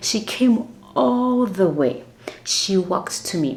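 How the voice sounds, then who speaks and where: Noticeable background noise sits under a woman's lively intonation. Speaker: flight attendant vlogger. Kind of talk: casual storytelling vlog. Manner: soft-spoken.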